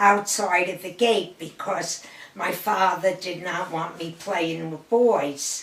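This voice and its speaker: A woman in a New York accent speaks at a very slow pace and medium pitch, with noticeable background noise behind her. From Brooklyn, New York. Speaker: grandmother sharing family history. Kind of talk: oral history interview.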